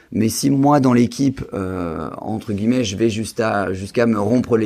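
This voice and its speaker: A plain, everyday voice from a man, medium in pitch, at a moderate pace. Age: 20s. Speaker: real estate investor and medical student. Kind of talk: podcast interview.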